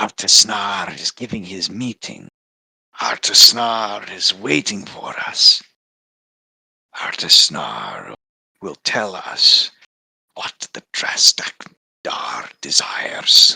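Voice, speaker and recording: A man in a put-on character voice at a medium pitch speaks at a very slow pace with long, frequent pauses. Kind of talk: tabletop roleplaying game narration.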